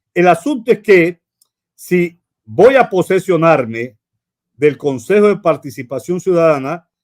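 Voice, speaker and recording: Very wide pitch swings mark this man's high-pitched voice as he talks at a very slow pace. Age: 60s. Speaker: lawyer and law professor. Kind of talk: broadcast interview.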